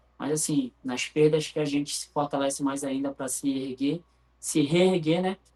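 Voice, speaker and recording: Moderate-paced speech from a man at a fairly high pitch. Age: 40s. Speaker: futsal player. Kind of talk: interview.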